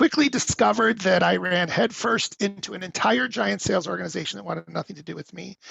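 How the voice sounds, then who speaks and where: Here a man talks with hardly any pauses and big swings in loudness. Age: 60s. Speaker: company CEO. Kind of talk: interview.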